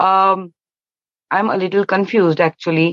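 A woman with an Indian accent speaks at a moderate pace and medium pitch, the sound dry and close with no echo and the background quiet.

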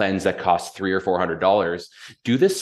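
A man with a Canadian accent at a very fast pace, quiet background behind him. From Canada, London, Ontario. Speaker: general manager of a juice company. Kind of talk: casual interview chat.

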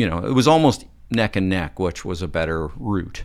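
With lively intonation, a man in a western Canadian accent comes through on a very clean recording with a silent background. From Alberta, Calgary. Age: 50s. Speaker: film and TV director. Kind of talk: casual chat.

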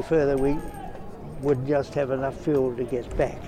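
Noticeable background noise sits behind a man whose fairly high voice moves at a moderate pace. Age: 90s. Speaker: war veteran. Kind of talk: interview. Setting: outdoors at a parade.

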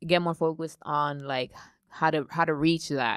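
Recorded very cleanly with a silent background and a dry, close sound without echo, a woman speaks at a moderate pace in a very deep, low pitch. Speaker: podcast co-host. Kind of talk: casual banter. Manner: animated.

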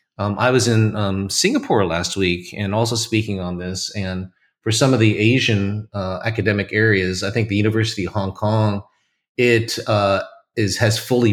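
In an American accent, a man delivers his lines at a moderate pace with fairly low pitch and fairly even intonation, on a very clean recording with a silent background. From US West Coast, California. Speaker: corporate learning executive. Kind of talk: podcast interview.

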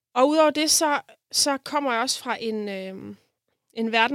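At a moderate pace, a woman speaks with ordinary pitch variation on a very clean recording with a silent background. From Denmark, South Funen. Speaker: jazz composer and bandleader. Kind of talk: interview conversation. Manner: hesitant, filler-heavy.

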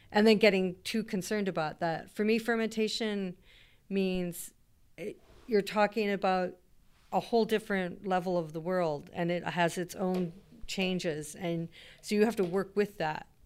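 A woman with an unremarkable speaking voice and a Canadian accent, at a moderate pace with fairly even intonation, on a very clean recording with a silent background. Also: medium pitch for a woman. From British Columbia coast, Canada. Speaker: chef and plant-based cheese maker. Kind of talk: interview.

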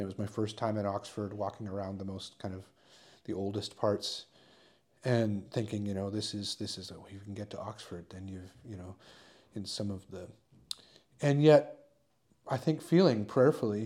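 Pausing long and often, a man with a fairly low pitch and a dark, mellow tone speaks with ordinary pitch variation. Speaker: podcast host. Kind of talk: casual chat. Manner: halting.

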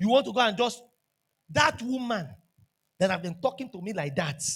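A man with a Nigerian accent, high pitch, a fairly quick pace and very wide pitch swings. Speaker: pastor. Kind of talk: sermon. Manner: animated.

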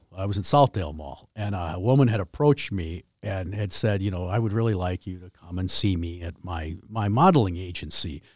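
Speaking fairly quickly with hardly any pauses, a man with an American accent has a very deep, low, somewhat breathy voice, ordinary pitch variation and big swings in loudness, on a very clean recording with a silent background. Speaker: hockey jersey manufacturer, company founder. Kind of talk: casual interview chat. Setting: studio.

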